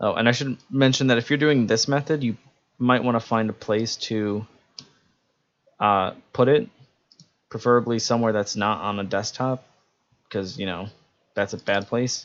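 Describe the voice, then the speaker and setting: Pausing long and often, a man talks at a moderate pace with a medium pitch and ordinary pitch variation. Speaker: robotics team programmer. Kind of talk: tutorial. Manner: halting with fillers.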